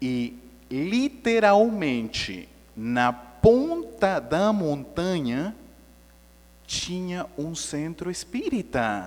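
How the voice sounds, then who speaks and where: A man speaks at a very slow pace with a non-native accent. His high voice moves in very wide pitch swings. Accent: foreign accent in Portuguese. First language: Spanish (speaking Portuguese). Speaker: spiritist lecturer. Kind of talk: lecture. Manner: conversational, engaging audience.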